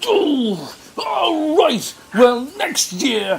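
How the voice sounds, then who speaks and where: A put-on character voice, fairly high, with very wide pitch swings. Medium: read story. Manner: roaring, blustering.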